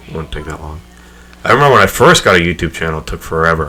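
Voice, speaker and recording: Soft-spoken and very deep, a man talks at a very fast pace with music in the background. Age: 20s. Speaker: podcast host and gamer YouTuber. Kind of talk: casual chat.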